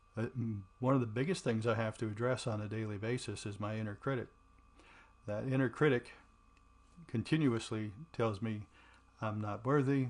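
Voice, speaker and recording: At a moderate pace and medium pitch, a man speaks with fairly even intonation and long, frequent pauses. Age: 60s. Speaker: podcast host talking about trauma recovery. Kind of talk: personal reflective monologue. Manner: casual, with many fillers (um, uh).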